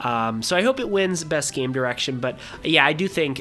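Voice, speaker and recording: Background music can be heard. Speech comes at a moderate pace. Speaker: gaming commentator. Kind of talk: casual talk to camera. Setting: home room, mic at distance.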